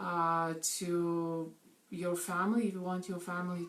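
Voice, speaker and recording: Speaking fairly slowly, a woman uses a fairly low pitch. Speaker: network marketing coach. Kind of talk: live video talk. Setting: live stream. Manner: animated.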